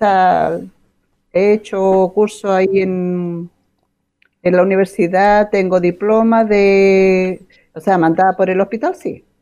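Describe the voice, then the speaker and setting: Very slow and monotone, a woman with a medium pitch and a dark, mellow tone speaks with flat intonation and long, frequent pauses. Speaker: retired hospital administrator. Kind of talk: casual chat.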